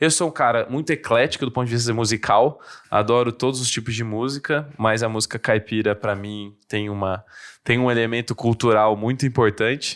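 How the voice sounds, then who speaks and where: A man with an ordinary speaking voice and medium pitch talks at a fairly quick pace with fairly even intonation, on a very clean recording with a silent background. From interior of São Paulo state, Brazil (São Carlos). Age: 20s. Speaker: politician. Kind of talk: casual interview chat.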